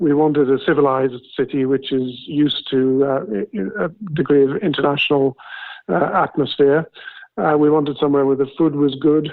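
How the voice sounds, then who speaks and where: Keeping his loudness very even, a man speaks at a moderate pace and a fairly high pitch with ordinary pitch variation. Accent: southern English. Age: 70s. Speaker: retired accountant, property buyer. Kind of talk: interview. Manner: hesitant, with fillers.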